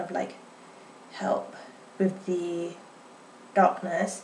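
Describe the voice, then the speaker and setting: Music plays in the background as a woman speaks. Her pace is fairly slow. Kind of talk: casual makeup review to camera. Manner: a bit halting.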